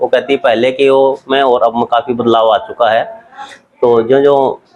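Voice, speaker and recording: With music in the background, a man speaks at a medium pitch and a moderate pace, with very even loudness and ordinary pitch variation. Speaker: family member of elderly voter. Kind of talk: interview answer.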